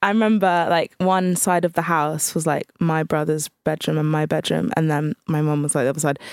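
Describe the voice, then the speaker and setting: At a fairly quick pace with hardly any pauses, a woman speaks in a very deep, low pitch with ordinary pitch variation, very even loudness and a dry, close sound with no echo. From Alderney, Channel Islands. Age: 20s. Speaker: DJ and radio presenter. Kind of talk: casual interview chat.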